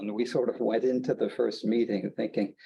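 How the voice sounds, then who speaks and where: A man with an American accent speaks at a medium pitch. His tone is dark and mellow, with vocal fry. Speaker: conference presenter, geothermal researcher. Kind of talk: conference presentation.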